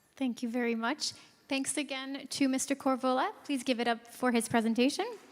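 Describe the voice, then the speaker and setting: With a Canadian accent, a woman with a high pitch speaks at a fairly quick pace, her intonation fairly even. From Canada. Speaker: conference emcee. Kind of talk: event hosting announcements. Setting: conference stage with audience.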